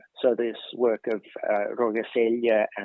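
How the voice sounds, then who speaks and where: A man speaks with an Australian accent. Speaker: professor. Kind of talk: interview. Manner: halting.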